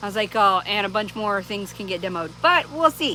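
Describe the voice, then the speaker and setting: Clear background noise behind a woman's voice. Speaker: vlogger. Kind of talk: casual chat. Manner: loud; rambling, many fillers.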